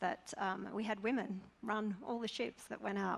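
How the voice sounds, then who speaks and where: A woman with an Australian accent and vocal fry, fairly even intonation, a fairly quick pace and a very clean recording with a silent background. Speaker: campaign organiser. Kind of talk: panel discussion.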